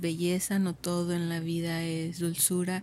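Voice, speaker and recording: Monotone, flat intonation carries this fairly slow delivery. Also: woman. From Mexico, Michoacán (Uruapan). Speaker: contemplative nun. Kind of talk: vocation testimony.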